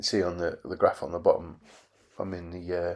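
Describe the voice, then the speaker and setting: Very deep and low in pitch, a man speaks at a moderate pace in a monotone, flat intonation. The recording is very clean, with a silent background. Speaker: cycling vlogger, retiree. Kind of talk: live race commentary. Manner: halting.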